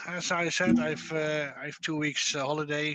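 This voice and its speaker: The man's fairly high voice moves at a fairly slow pace while noticeable background noise carries on behind it. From Netherlands. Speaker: quiz show host. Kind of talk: casual chat. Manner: soft-spoken; hesitant. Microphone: echoey; too quiet.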